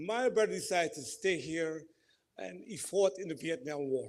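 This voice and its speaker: A man with a Guyanese accent speaks at a moderate pace. His high voice carries lively intonation. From Guyana. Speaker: community representative giving remarks. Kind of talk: ceremony speech.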